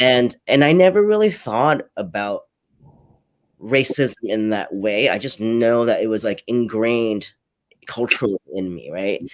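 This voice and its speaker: Speaking fairly slowly, a man with a Cantonese accent uses a medium pitch. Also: ordinary pitch variation. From New York (born in Hong Kong, moved at seven). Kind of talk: live panel discussion. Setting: livestreamed online panel.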